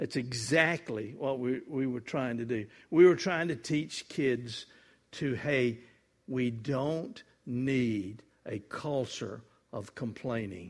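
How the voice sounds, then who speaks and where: On a very clean recording with a silent background, a man with a Southern US accent speaks at a very slow pace in a medium pitch with ordinary pitch variation. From US South, Mississippi. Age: 70s. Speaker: guest preacher. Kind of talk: sermon. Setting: church.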